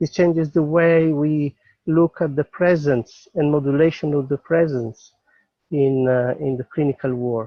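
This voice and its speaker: Speaking fairly slowly with a non-native accent, a man keeps a fairly even intonation at a fairly high pitch. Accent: foreign accent in English. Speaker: psychotherapist. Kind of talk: webinar invitation. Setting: outdoors in the mountains. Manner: halting.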